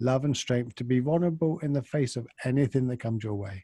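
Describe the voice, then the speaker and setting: In a very clean recording with a silent background and a dry, close sound free of echo, a man speaks at a moderate pace with a dark, mellow, somewhat breathy tone, medium pitch and ordinary pitch variation. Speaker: podcast co-host. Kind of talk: podcast intro recording.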